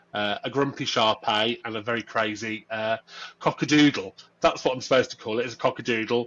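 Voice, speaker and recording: Fairly quick speech in a Birmingham accent, with fairly even intonation. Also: man, medium pitch for a man. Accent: Birmingham (Brummie). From Birmingham, England. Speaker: workplace culture and diversity lead. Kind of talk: podcast interview. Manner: casual, many fillers.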